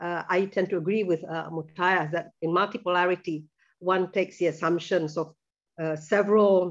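At a moderate pace, a woman speaks with fairly even intonation against a quiet background. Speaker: presenter. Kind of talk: lecture. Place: home room. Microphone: video call.

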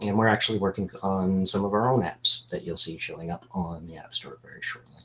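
A man talks at a fairly quick pace in a plain, everyday voice, fairly low in pitch, with fairly even intonation and hardly any pauses. His loudness swings widely, over light background noise. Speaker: business analyst; webinar presenter. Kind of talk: webinar product demo. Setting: video call. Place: home room. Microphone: video call.

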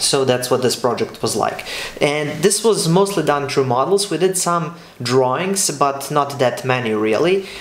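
The man's pitch is fairly high and his intonation lively. He goes at a fairly slow pace, with audible room echo. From Serbia. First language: Serbian. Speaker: architecture student and video creator; architecture graduate vlogger. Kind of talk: casual vlog talk; casual vlog chat. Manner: hesitant, many fillers and repeats. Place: home room.

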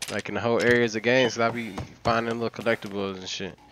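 A man's fairly low voice at a fairly quick pace. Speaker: gaming streamer. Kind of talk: live gameplay commentary. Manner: animated.

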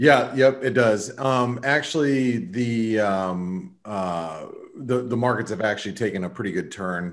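Lively intonation from a man at medium pitch with an American accent. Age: 40s. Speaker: trader. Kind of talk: casual chat. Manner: halting.

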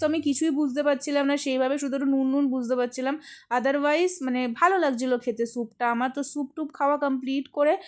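Over a silent background in a very clean recording, a woman talks in a high pitch. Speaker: lifestyle vlogger. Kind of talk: vlog narration.

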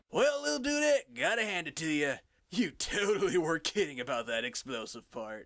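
A man puts on a drawling character voice, high in pitch with very wide pitch swings. He keeps a moderate pace. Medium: fan dub. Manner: laid-back slacker drawl, says dude and bro.

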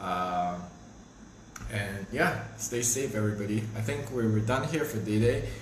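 At a fairly slow pace, a man with a fairly low voice speaks amid light background noise and audible room echo. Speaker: livestream host. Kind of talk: casual livestream chat. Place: kitchen. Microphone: phone near.

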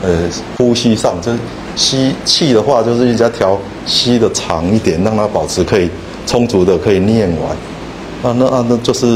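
A man talks at a moderate pace with ordinary pitch variation. His loudness is very even, and there is noticeable background noise. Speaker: student group leader. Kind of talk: group sharing. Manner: halting, hesitant. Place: hall. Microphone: handheld.

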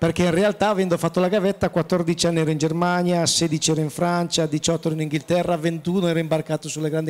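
A man with a high pitch speaks at a fairly quick pace in a monotone, flat intonation. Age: 50s. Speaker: chef, president of professional cooks' association; panelist. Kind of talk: panel discussion at trade fair. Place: hall. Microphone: handheld.

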